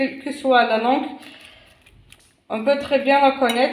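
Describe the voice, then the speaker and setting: A woman speaks with a non-native accent, her voice carrying audible room echo. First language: not French (speaking French). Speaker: cooking channel host. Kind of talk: cooking tutorial. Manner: hesitant, many fillers.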